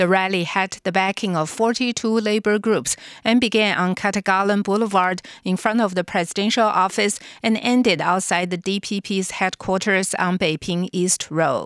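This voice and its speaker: A plain, everyday voice from a woman at a medium pitch, with fairly even intonation and a moderate pace, on a very clean recording with a silent background. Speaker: radio newsreader. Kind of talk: news reading. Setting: studio. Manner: formal; steady, brisk newsreader delivery.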